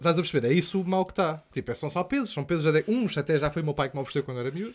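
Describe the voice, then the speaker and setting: Barely pausing, a man talks at a very fast pace in a fairly high pitch with ordinary pitch variation. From Portugal, Lisbon. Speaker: comedian and podcast host; comedian, podcast host. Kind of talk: casual chat. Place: studio. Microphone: studio mic.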